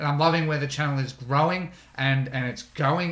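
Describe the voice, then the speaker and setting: A man's very fast, monotone, flat delivery, with audible room echo. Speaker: online business educator; online ads tutor, channel host. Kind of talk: tutorial. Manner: casual, with fillers. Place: home room.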